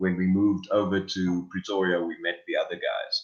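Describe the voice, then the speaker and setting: A man with a South African accent at a moderate pace. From South Africa (Lydenburg, Mpumalanga). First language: Afrikaans. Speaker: rock guitarist and singer. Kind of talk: interview.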